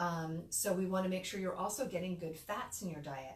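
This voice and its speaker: A woman's fairly low voice at a fairly quick pace, with audible room echo. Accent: American. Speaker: midwife. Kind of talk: educational talk. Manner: casual, conversational.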